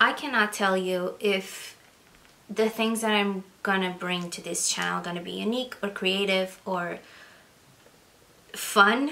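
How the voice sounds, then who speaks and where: Speaking in a Portuguese accent, a woman at a medium pitch keeps a fairly even intonation and a fairly slow pace, with long, frequent pauses and big swings in loudness. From Portugal. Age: 20s. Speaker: book vlogger. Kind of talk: casual vlog talk.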